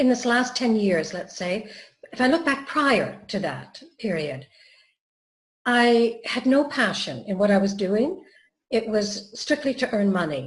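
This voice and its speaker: A woman's fairly high, somewhat breathy voice with very wide pitch swings and a fairly slow pace. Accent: Canadian. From Canada. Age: 60s. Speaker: wellbeing trainer. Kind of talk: interview. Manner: hesitant, many fillers.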